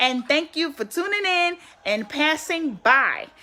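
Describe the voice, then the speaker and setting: A woman uses a raised, projected voice with a high pitch. Her intonation is lively. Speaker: online business promoter. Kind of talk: live stream sales pitch. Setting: live stream.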